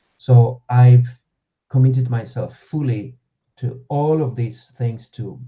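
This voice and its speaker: A man with an Argentinian accent speaks at a medium pitch, his dark, mellow tone somewhat breathy and his intonation fairly even. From Argentina. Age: 30s. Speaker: actor and voice-over artist. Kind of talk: casual chat. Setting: live podcast stream.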